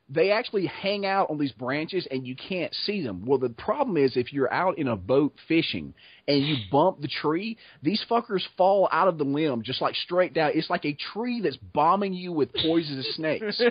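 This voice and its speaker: With an American accent, a man speaks in an animated tone at a fairly high pitch. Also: moderate pace. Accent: Southern US, heavy (relaxed for videos). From US South (Georgia/Florida swamp area). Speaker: blacksmith and video creator. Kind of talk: casual chat.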